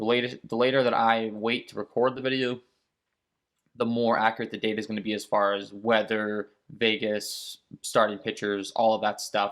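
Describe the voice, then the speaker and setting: A man's monotone, flat intonation against a quiet background. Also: medium pitch for a man. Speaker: fantasy sports content creator. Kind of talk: casual chat to camera. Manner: fast; rambling. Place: home room.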